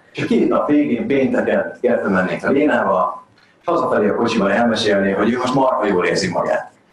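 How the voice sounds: The speech carries lively intonation, and audible room echo can be heard. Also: man.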